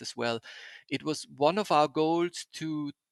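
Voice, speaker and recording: Against a quiet background, a man with a German accent talks at a fairly slow pace in a fairly high voice, the sound dry and close with no echo. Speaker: podcast host, experiential graphic designer. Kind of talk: interview podcast. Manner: halting, many fillers and repetitions.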